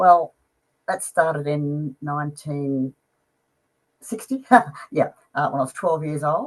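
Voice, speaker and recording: A woman with an Australian accent speaks in a very deep, low pitch and fairly even intonation, with long, frequent pauses. The sound is dry and close with no echo. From Australia, Melbourne. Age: 70s. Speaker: music fan. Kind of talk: interview.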